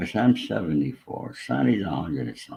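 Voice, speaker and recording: Dark and mellow in tone, this voice has vocal fry and an American accent, moving at a moderate pace with very wide pitch swings. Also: man. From New York State. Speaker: former mobster in recovery. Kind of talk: interview storytelling. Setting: live online interview.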